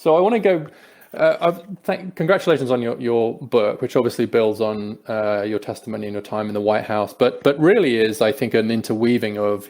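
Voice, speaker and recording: Ordinary pitch variation in an English accent. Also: man. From England, Peterborough. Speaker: podcast host. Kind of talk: interview conversation.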